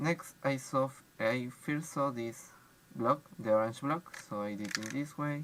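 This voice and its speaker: Over noticeable background noise, the words come at a very slow pace. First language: not English. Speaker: speedcuber. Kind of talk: tutorial. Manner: halting.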